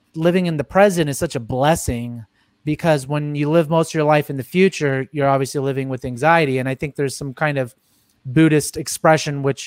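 Recorded with a dry, close sound and no echo, a man with an unremarkable speaking voice talks at a fairly quick pace, fairly high in pitch with fairly even intonation. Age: 30s. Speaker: podcast host. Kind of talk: casual interview chat.

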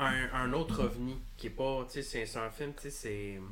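Audible room echo surrounds a man's bright, sharp tone, pitched at a medium level. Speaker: filmmaker and former film teacher. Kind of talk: casual chat.

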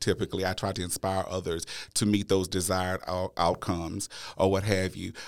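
In a Louisiana accent, a man with a very deep, low voice talks at a moderate pace in a very clean recording with a silent background. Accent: Louisiana Southern US. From Louisiana (Natchitoches). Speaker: podcast host, educator. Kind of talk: interview.

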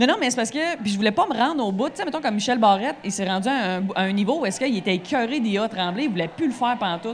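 Over noticeable background noise and audible room echo, a woman with fairly high pitch speaks at a very fast pace, with lively intonation and hardly any pauses. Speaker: stand-up comedian. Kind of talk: casual chat. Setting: bar stage with live audience.

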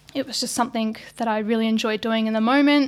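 A woman with a New Zealand accent, fairly high in pitch, with fairly even intonation. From New Zealand, small country town. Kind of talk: casual chat.

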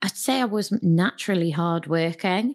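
In a Geordie accent, a woman talks at a moderate pace and a fairly low pitch with ordinary pitch variation. The recording is very clean, with a silent background. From northern England, Newcastle. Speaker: entrepreneur. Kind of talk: interview conversation.

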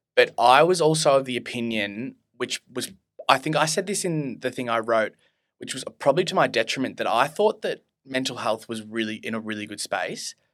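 This man has an Australian accent and a medium pitch. He talks at a fairly quick pace with lively intonation. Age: 20s. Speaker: student and mental health interviewee. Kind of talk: casual chat.

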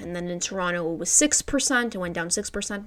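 A woman's plain, everyday voice at medium pitch, with ordinary pitch variation. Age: 20s. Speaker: real estate agent and podcast host. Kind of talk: solo Q&A monologue.

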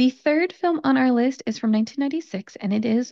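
Lively in intonation, a woman with an American accent and a plain, everyday voice talks at a moderate pace. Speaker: English teacher. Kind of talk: educational podcast monologue. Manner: clear, instructive.

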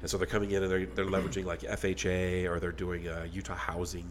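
Here a man with an American accent speaks at a very fast pace. His voice is very deep and low, with vocal fry. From Texas. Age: 50s. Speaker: podcast host. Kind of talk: casual chat.

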